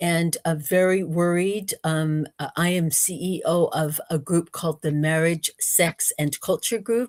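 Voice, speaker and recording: A woman with an American accent uses an ordinary speaking voice and fairly even intonation. Her pace is fairly slow, with hardly any pauses. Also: fairly low pitch for a woman, dry, close sound with no echo. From United States. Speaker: researcher and speaker. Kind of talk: interview. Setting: livestream.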